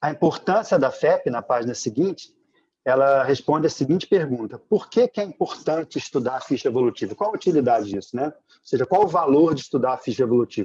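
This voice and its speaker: A man speaks at a very fast pace in a fairly high voice, his tone dark and mellow and his intonation lively. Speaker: study group teacher. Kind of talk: online lecture. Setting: video call.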